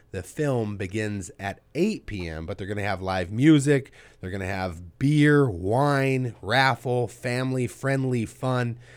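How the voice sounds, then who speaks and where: In a very clean recording with a silent background, an unremarkable speaking voice with an American accent carries lively intonation. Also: man. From Ventura, California. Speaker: radio show host. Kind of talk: interview. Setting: studio.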